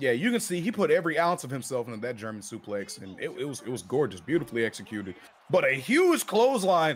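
The speaker goes at a very fast pace with an energetic, enthusiastic tone and very wide pitch swings. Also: man, fairly high pitch for a man. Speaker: color commentator. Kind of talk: live wrestling commentary. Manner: energetic, enthusiastic, jokey and conversational.

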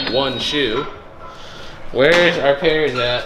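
Loud noise fills the background while a man talks. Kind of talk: casual vlog chat. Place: garage. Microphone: phone near.

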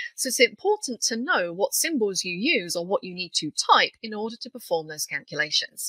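A woman with a British accent at a fairly quick pace, hardly any pauses, big swings in loudness, and a dry, close sound with no echo. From UK. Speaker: software trainer. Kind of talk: tutorial.

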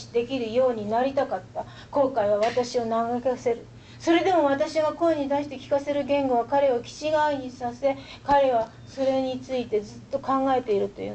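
A woman speaks at a moderate pace in a high voice. Her intonation stays fairly even over light background noise. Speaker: poet. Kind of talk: poetry reading. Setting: live audience reading. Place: classroom. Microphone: camera far.

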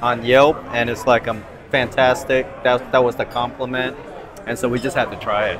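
Music plays behind a man speaking in a monotone, flat intonation. His pace is moderate. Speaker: food vlogger. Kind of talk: casual vlog chat. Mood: relaxed, pleased. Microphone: lapel.

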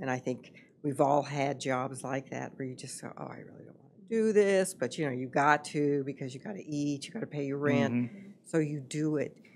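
A woman's very deep, low voice with ordinary pitch variation, big swings in loudness, hardly any pauses and light background noise. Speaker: podcast guest, host's mother. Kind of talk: interview answer. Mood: reflective, earnest. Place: studio. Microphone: studio mic.

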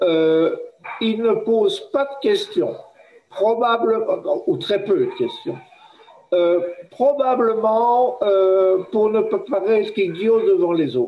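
A man with a high pitch speaks at a very slow pace, his pitch swinging very widely between long, frequent pauses. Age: old. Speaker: professor, workshop participant; professor. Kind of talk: group discussion. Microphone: video call.

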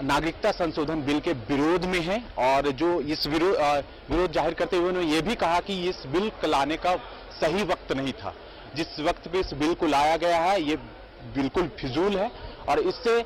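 A man's high-pitched voice at a fairly slow pace, with light background noise and a dry sound with no echo. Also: ordinary pitch variation. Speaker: TV news reporter. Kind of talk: news field report. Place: street. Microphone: handheld.

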